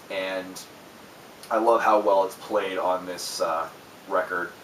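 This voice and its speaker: Amid noticeable background noise, a man talks at a fairly slow pace. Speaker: music reviewer. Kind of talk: album review monologue. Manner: halting, many fillers.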